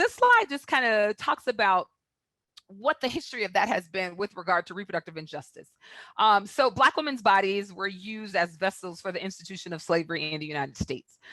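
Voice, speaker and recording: A woman of medium pitch with a bright, sharp tone and lively intonation at a fairly quick pace, dry and close with no echo, over a quiet background. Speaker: public health presenter. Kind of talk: webinar presentation. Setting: online webinar. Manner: fast.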